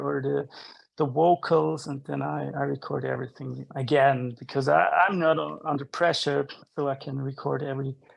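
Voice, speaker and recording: The background is quiet. A man talks in a non-native accent. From Switzerland. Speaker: rock musician. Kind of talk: interview. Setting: home studio. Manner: halting, many repetitions.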